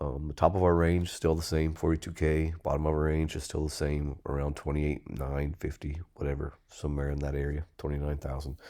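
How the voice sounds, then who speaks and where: A dark, mellow voice speaks in a flat monotone at a moderate pace on a very clean recording with a silent background. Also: man. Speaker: crypto commentator. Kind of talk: tutorial. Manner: casual, many fillers.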